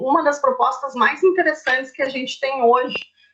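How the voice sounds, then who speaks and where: Her pitch sits high. The woman's intonation is lively. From southern Brazil, Curitiba. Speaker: nutritionist. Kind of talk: informal presentation in a livestream chat. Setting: online livestream. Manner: fast.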